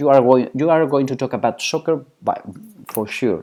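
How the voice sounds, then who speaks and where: Speaking at a moderate pace with a Spanish accent, a man is heard on a very clean recording with a silent background. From Spain. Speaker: psychology professor. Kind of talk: lecture. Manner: halting.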